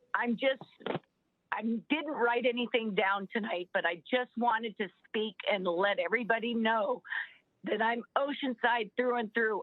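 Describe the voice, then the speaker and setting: Using ordinary pitch variation, a woman speaks at a fairly slow pace in a fairly high pitch with an American accent. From US West Coast, Southern California. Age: 60s. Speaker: public commenter at city council meeting. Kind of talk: public comment.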